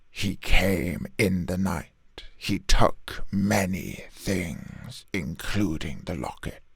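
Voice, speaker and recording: A man speaks in a put-on character voice at a very deep, low pitch. His pace is very slow. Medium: solo performance. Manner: muttering, third-person speech.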